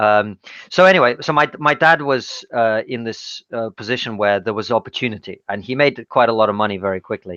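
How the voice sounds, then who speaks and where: This man has a medium-pitched voice with a bright, sharp tone and ordinary pitch variation, delivered at a fairly quick pace. The sound is dry and close with no echo, over a quiet background. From Russia. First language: Russian. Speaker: stand-up comedian and podcast co-host. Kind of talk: interview conversation.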